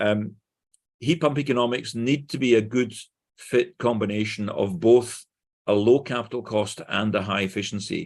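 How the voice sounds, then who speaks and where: Against a quiet background, a man with a Glaswegian accent talks at a moderate pace and medium pitch, with ordinary pitch variation. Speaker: conference speaker, engineer. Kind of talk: conference presentation. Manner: clear.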